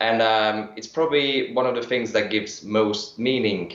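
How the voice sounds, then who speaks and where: A man with a German accent at medium pitch, ordinary pitch variation and a moderate pace, with audible room echo. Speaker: energy healing practitioner. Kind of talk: interview. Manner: hesitant, with fillers.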